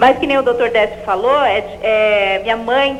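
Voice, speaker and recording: A woman's high-pitched voice with ordinary pitch variation amid noticeable background noise. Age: 30s. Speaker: TV caller. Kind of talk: call-in question.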